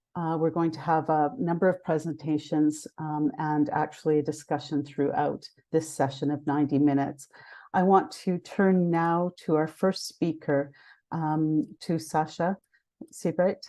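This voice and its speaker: Against a quiet background, a woman speaks fairly slowly in a very deep, low pitch. Her tone is dark and mellow. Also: fairly even intonation. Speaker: session moderator. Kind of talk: online panel moderation. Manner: hesitant with fillers.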